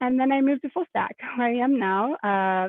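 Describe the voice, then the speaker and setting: A woman with an American accent uses a plain, everyday voice and ordinary pitch variation. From US Midwest (Indianapolis, Indiana). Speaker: product manager in tech education. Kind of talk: panel presentation.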